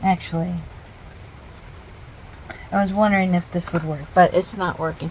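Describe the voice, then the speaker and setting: Soft-spoken, a woman talks in a fairly low pitch. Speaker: artist. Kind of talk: casual art process narration.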